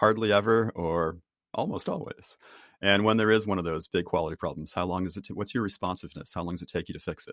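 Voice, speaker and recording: A man with an American accent, very fast pace and fairly even intonation, in a dry, close recording with no echo. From US, Boston. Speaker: author and team trainer. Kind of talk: interview. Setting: video call.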